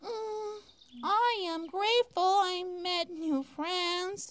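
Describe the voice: The speaker uses a put-on character voice at an extremely high pitch. The delivery is very slow.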